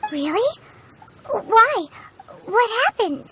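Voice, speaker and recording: A woman's put-on character voice at an extremely high pitch. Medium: solo performance. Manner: brisk, upbeat.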